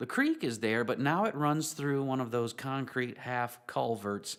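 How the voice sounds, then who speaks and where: Speaking fairly slowly with a Southern US accent, a man keeps a medium pitch, recorded very cleanly over a silent background. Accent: Southern American. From US South, western North Carolina. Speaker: pastor. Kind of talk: sermon.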